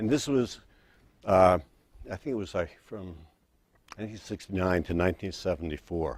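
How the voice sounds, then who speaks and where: At a moderate pace, a man with a very deep, low pitch speaks with lively intonation. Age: 60s. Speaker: self-help vlogger. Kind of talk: personal testimony. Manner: casual.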